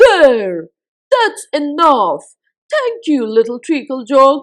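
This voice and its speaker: A woman's put-on character voice, high-pitched with very wide pitch swings, at a very slow pace. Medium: read story. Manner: eager, impulsive.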